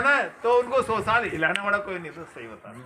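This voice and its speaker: A man's raised, projected voice at an extremely high pitch, with ordinary pitch variation and noticeable background noise. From Rajasthan, Sawai Madhopur area. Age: 60s. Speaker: retired man revisiting childhood village. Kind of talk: casual chat.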